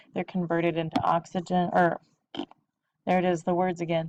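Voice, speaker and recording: A woman's fairly low-pitched voice in a dry, close sound with no echo. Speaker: biology teacher. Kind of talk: lecture. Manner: fast.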